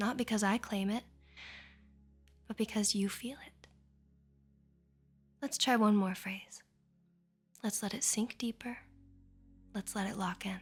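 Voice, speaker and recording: Soft-spoken and soothing, the voice moves at a fairly slow pace with fairly even intonation. Long pauses come often, with music playing in the background. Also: woman, fairly high pitch for a woman. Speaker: ASMR artist. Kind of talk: sleep hypnosis. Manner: slow, soothing.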